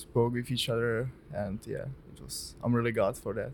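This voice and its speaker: A man with a Czech accent speaks in a monotone, flat way. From Czech Republic (Jihlava). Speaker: hockey prospect, defenseman. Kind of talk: interview.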